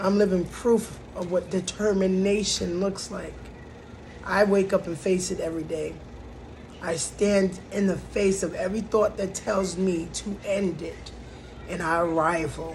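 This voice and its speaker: A woman speaks at a fairly slow pace in a medium-pitched, monotone voice with flat intonation, and the room echo is audible. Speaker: vlogger sharing mental health journal. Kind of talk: personal vlog with journal reading. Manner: emotional, halting.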